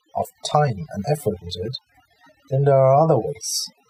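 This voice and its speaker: Music plays in the background while a man of medium pitch speaks with a dry, close sound and no echo. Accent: German. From Germany. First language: German. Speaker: crypto YouTuber. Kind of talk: tutorial. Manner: halting.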